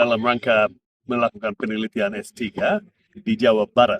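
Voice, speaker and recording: At a medium pitch, a man talks at a moderate speed. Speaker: former diplomat and interpreter. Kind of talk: interview. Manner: hesitant, many fillers.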